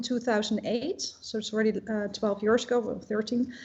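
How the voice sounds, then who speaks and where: Noticeable noise behind a woman talking at a moderate pace. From Netherlands. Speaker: shop owner. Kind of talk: interview. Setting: live online broadcast. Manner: hesitant, many fillers.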